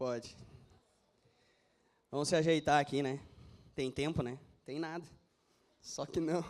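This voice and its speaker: On a very clean recording with a silent background, a man with a fairly high pitch speaks at a fairly slow pace with fairly even intonation and long, frequent pauses. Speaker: pastor. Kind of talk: sermon.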